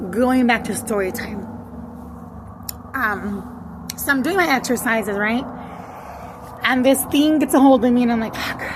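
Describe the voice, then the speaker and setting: At a fairly slow pace and with ordinary pitch variation, the speaker is heard with audible room echo and noticeable background noise. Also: woman. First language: Spanish. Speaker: spiritual content creator. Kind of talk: casual monologue, story time. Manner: slow, halting; code-switching English and Spanish.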